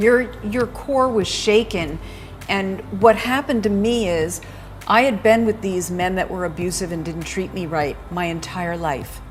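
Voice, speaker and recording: Over noticeable background noise, a woman talks at a fairly slow pace with medium pitch and ordinary pitch variation. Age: 60s. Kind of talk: casual chat.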